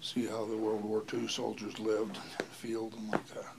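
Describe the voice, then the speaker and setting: Speaking at a moderate pace, a man can be heard. There is noticeable background noise as well. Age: 80s+. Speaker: grandfather telling life story. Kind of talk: oral history interview. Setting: living room at home. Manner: halting, with fillers.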